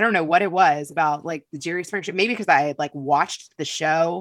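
A woman talks very fast in a very clean recording with a silent background. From Kentucky. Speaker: podcast host and producer. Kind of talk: casual interview chat.

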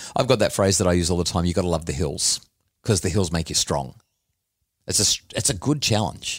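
The talk runs at a fairly quick pace in an Australian accent with lively intonation and long, frequent pauses. The recording is very clean with a silent background. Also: man, very deep, low pitch for a man. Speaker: podcast host and author. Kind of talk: casual chat.

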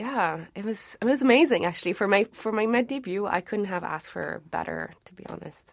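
A woman of medium pitch with vocal fry talks at a fairly quick pace, with ordinary pitch variation and big swings in loudness, in a very clean recording with a silent background. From Montreal, Quebec. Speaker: opera singer. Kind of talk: casual chat.

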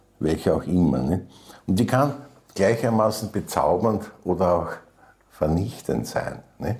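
A man with a very deep, low pitch and vocal fry speaks at a fairly slow pace, leaving long, frequent pauses. His intonation is lively while his loudness stays very even. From Vienna, Austria. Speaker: writer and lyricist. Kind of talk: interview. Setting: private kitchen.

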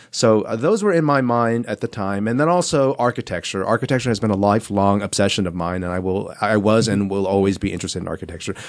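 Speaking very fast with hardly any pauses, a man with an American accent uses a fairly low pitch and ordinary pitch variation. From Southern California. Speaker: children's book author. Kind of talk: interview.

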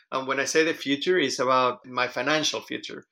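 On a very clean recording with a silent background, a man of medium pitch speaks with a Spanish accent and a bright, sharp tone. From Venezuela. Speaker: interviewee sharing personal experience. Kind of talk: casual interview.

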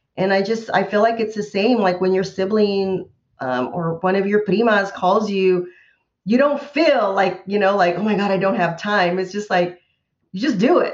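A woman's ordinary speaking voice, medium in pitch, at a moderate pace with ordinary pitch variation. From California Central Valley. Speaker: university professor. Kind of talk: panel conversation.

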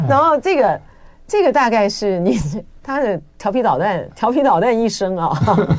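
Over noticeable background noise, a woman speaks at a moderate pace in a fairly high, animated voice with very wide pitch swings and very even loudness. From Taiwan. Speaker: radio host. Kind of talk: interview. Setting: studio.

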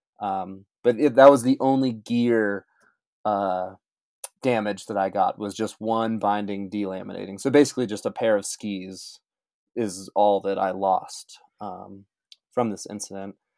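A man with a General American accent speaks in a plain, everyday voice at a fairly slow pace, with fairly even intonation and big swings in loudness, in a very clean recording with a silent background. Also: fairly low pitch for a man. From Colorado. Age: 30s. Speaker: ski mountaineer. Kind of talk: interview testimony.

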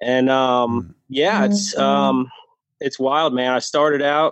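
A man with an American accent, an ordinary speaking voice, a medium pitch and ordinary pitch variation. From New Jersey. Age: 40s. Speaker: podcast guest sharing weight-loss and sobriety story. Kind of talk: casual interview chat.

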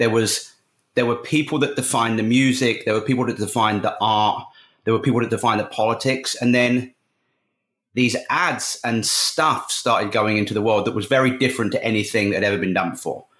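A man with an English accent at a fairly quick pace, loudness very even, on a very clean recording with a silent background. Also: medium pitch for a man, fairly even intonation. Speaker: advertising creative director. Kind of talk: interview.

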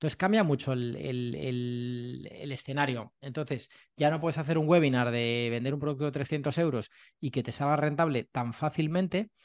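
An unremarkable speaking voice from a man with medium pitch and ordinary pitch variation, at a moderate pace against a quiet background. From Madrid, Spain. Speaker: sales trainer and author. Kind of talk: casual interview chat.

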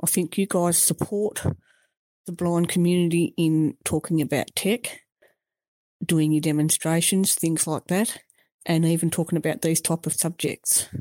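Recorded with a dry, close sound and no echo, a woman speaks at a fairly low pitch and a moderate pace, her tone dark and mellow, her intonation fairly even and her loudness very even. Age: 50s. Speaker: blind listener. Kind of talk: recorded voicemail message.

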